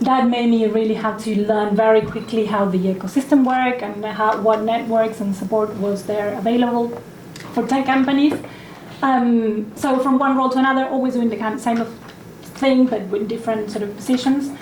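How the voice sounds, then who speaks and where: With a non-native accent, a woman speaks at a moderate pace and fairly high pitch with fairly even intonation, over noticeable background noise and audible room echo. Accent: foreign. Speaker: partnerships manager, panelist. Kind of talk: panel discussion.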